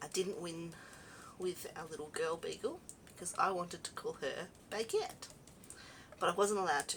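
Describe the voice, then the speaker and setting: A woman speaks with an Australian accent at a moderate pace, her loudness swinging widely. She leaves long pauses often. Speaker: craft video host. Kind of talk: casual crafting chat. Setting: home craft room. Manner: relaxed, conversational.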